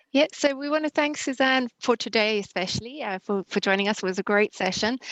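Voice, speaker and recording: A woman with a South African accent speaks at a fairly high pitch. Her fairly quick delivery has a dry, close sound with no echo. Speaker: webinar host. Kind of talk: online webinar wrap-up.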